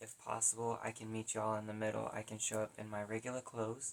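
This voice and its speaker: A woman with an American accent talks very fast at a very deep, low pitch, her intonation monotone and flat. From US South. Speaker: vlogger. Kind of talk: personal vlog. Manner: halting.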